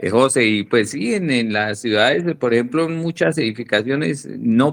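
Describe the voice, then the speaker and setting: A man's plain, everyday voice, medium in pitch with ordinary pitch variation, at a fairly slow pace. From Colombia. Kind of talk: casual comment on an amateur radio net.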